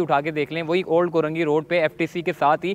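A man with fairly high pitch talks at a moderate pace. The sound is dry and close, with no echo. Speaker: travel vlogger. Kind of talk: guided video tour. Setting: inside a mosque.

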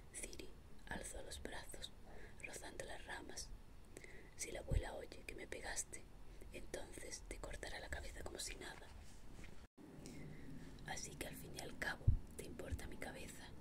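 Loud background noise runs under the speech. The pace is moderate, with long, frequent pauses. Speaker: audiobook reader. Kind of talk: ASMR audiobook reading for sleep. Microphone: studio mic.

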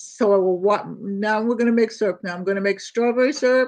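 Talking at a fairly quick pace, a woman shows ordinary pitch variation and a slightly mellow tone. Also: medium pitch for a woman.

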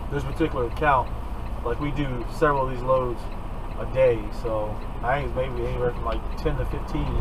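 Noticeable background noise under a man's fairly quick pace. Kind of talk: casual vlog chat, instructional. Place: car. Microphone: camera far.

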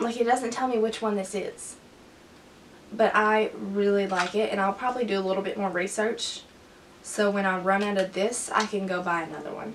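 A woman speaks at a moderate pace with fairly even intonation. There is light background noise. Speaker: beauty vlogger. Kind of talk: tutorial. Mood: relaxed, cheerful. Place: home room. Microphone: camera far.

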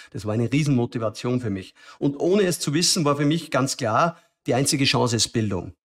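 Speaking at a fairly quick pace over a quiet background, a man with a medium-pitched, somewhat breathy voice uses lively intonation. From Lower Austria, rural farm. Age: 40s. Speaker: tech startup founder; podcast guest. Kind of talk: interview conversation. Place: studio. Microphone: studio mic.

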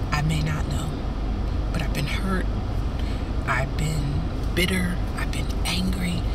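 Amid loud background noise, a woman speaks at a fairly slow pace with long, frequent pauses, her voice dry with no echo. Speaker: life coach and minister. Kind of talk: motivational faith-based talk. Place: car. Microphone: phone near.

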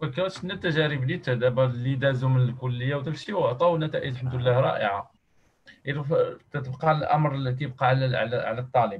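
Ordinary pitch variation marks this man's fairly quick delivery. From Morocco. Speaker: association workshop moderator. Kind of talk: online workshop moderation. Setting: video call. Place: home room. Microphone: earbuds.

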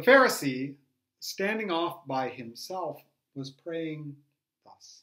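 Against a quiet background, a man talks at a very slow pace in a gentle tone, leaving long, frequent pauses. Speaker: storytelling teacher. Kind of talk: tutorial with a parable retold aloud. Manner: reflective, gentle teacher; hesitant, repeats words when retelling. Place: home room. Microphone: webcam.

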